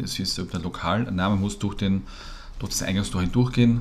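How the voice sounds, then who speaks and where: In a room with audible echo, a man talks at a moderate pace with a fairly low pitch. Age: 40s. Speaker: podcast co-host. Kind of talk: casual chat.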